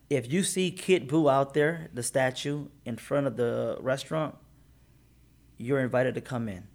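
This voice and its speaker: Here is a man with an American accent, a plain, everyday voice, fairly high in pitch. He moves at a moderate pace with ordinary pitch variation, on a very clean recording with a silent background. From Detroit area, Michigan. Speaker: business owner. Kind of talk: interview.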